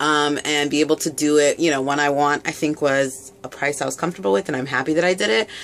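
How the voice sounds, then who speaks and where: A woman speaks at a very fast pace. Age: 30s. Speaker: beauty vlogger. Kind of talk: casual product review vlog. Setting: home video recording. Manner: casual with many filler words. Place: home room.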